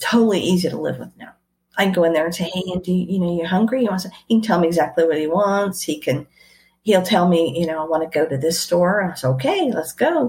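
At a very fast pace, a woman with a fairly low, somewhat breathy voice speaks with big swings in loudness. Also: ordinary pitch variation. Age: 50s. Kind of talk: interview.

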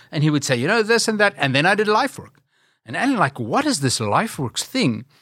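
A man with a South African accent has a bright, sharp tone. His pace is fairly quick. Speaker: ministry leader. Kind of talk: interview.

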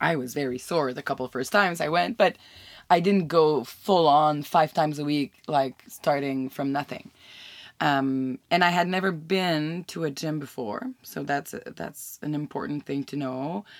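On a very clean recording with a silent background and a dry, close sound with no echo, a woman with a French Canadian accent speaks at a moderate pace in a very deep, low pitch with ordinary pitch variation. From Quebec. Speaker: podcast host. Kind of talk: casual chat.

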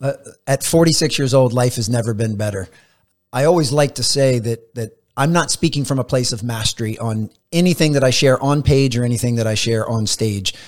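A man's normal speaking voice, medium in pitch with ordinary pitch variation, at a fairly quick pace on a very clean recording with a silent background. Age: 40s. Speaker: performance coach and motivational speaker. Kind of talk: interview conversation. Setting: studio.

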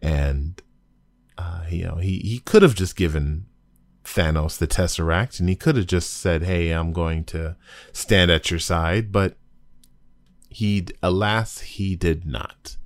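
Very slowly and with long, frequent pauses, a man speaks in a very deep, low pitch. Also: ordinary pitch variation. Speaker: podcast host. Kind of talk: casual solo podcast discussion. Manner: casual, chatty, animated.

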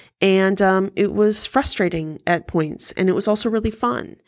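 A woman in a normal speaking voice, medium in pitch, talks at a moderate pace with ordinary pitch variation in a very clean recording with a silent background. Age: 30s. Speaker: self-help podcast host. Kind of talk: solo monologue. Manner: frequent filler words.

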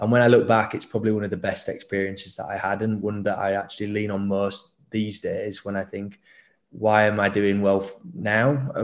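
A man with a northern English accent, fairly low pitch and fairly even intonation at a fairly quick pace, in a very clean recording with a silent background. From Leeds, northern England. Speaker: startup co-founder. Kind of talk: casual interview chat.

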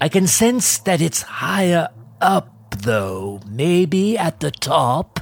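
It is a put-on character voice at a middle pitch with very wide pitch swings. The pace is very slow. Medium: audio drama. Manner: casual, breezy.

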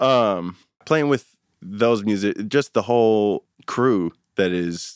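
A man with an American accent talks, and the recording is very clean with a silent background. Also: dry, close sound with no echo. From US, San Francisco Bay Area. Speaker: musician. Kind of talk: interview.

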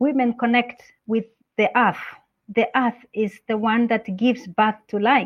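A woman with a Kenyan accent speaks at a fairly slow pace. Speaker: UN representative for a women's organization. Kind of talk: interview.

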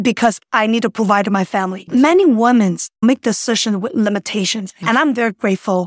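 A woman with a Chinese accent talks at a fairly quick pace, with hardly any pauses. The sound is dry and close, with no echo. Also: fairly high pitch for a woman, ordinary pitch variation. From southern China, Guangdong. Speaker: financial services businesswoman. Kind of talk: interview about life story.

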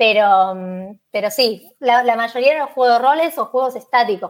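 An ordinary speaking voice moves at a moderate pace with ordinary pitch variation, captured in a very clean recording against a silent background. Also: woman. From Buenos Aires, Argentina. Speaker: Spanish teacher. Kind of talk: casual interview.

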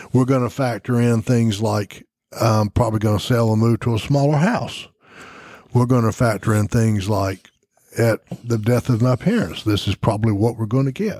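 Speaking at a moderate pace, a man with an American accent has a medium pitch, a dark, mellow tone, ordinary pitch variation and very even loudness, with a dry, close sound with no echo. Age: 60s. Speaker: financial advisor, radio show co-host. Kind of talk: radio talk show on finance. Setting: studio.

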